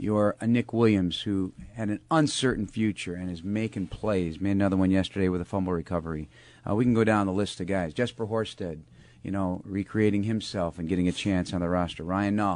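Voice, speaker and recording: Against a quiet background, a man talks in an unremarkable speaking voice at a fairly quick pace. His pitch is fairly low, with fairly even intonation. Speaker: radio host. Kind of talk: radio show interview. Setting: studio.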